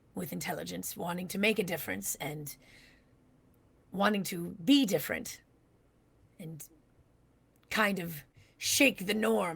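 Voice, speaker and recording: Putting on a raspy character voice, a woman speaks at a moderate pace with a fairly low pitch, very wide pitch swings, big jumps in volume, and long, frequent pauses. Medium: actual play. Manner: halting, earnest.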